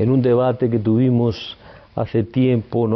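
A man is speaking. His pace is very slow. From Spain, Palencia (Castile). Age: 60s. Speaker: psychoanalyst. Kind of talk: interview. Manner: hesitant, with fillers.

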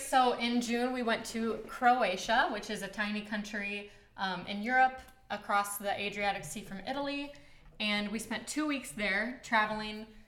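With noticeable background noise behind her, a woman speaks at a moderate pace in a fairly high pitch, with ordinary pitch variation and big swings in loudness. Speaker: guest, wife. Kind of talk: casual podcast conversation.

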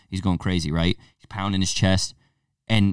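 In a normal speaking voice with an American accent, a man speaks at a moderate pace with fairly low pitch, the sound dry and close with no echo and the background silent in a very clean recording. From Connecticut (Torrington). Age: 20s. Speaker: podcast host and gym owner. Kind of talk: casual chat. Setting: gym.

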